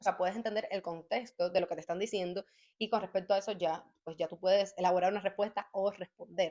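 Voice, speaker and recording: A woman talks very fast at a medium pitch, her dark, mellow tone held in a monotone, flat intonation. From Cuba. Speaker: YouTuber sharing language-learning tips. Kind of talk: casual vlog talk.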